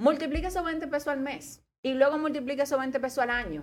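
A woman talks fairly quickly, her high pitch showing ordinary variation. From Dominican Republic, La Romana. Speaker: economist. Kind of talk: casual talk show interview. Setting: radio studio.

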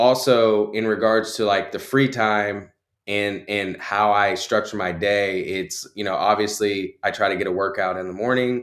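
An ordinary speaking voice belongs to a man with an American accent who talks at a fairly slow pace in a very clean recording with a silent background. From Texas (Conroe). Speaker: marketing agency owner. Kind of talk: coaching session.

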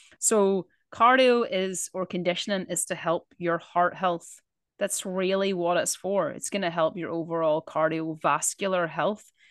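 The speaker talks at a moderate pace with ordinary pitch variation, in a dry, close sound with no echo and a quiet background. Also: woman. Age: 40s. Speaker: fitness coach and podcast host. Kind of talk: casual chat. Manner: animated.

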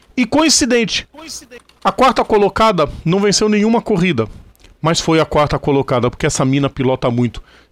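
A man's voice, high in pitch. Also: long, frequent pauses, very even loudness, dry, close sound with no echo. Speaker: motorsport podcast host. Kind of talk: casual chat; news reading.

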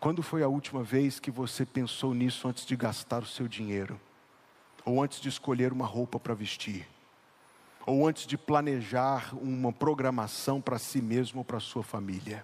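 A man speaks in an ordinary speaking voice, medium in pitch. His pace is moderate and his intonation fairly even. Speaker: pastor. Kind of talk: sermon. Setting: church.

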